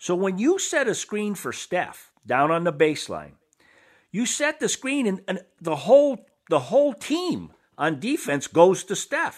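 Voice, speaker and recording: A man's high-pitched, animated and enthusiastic voice, very wide pitch swings, a fairly slow pace, and a very clean recording with a silent background. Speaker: radio co-host, basketball analyst. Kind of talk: sports radio banter, opinionated analysis. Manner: conversational, animated, enthusiastic.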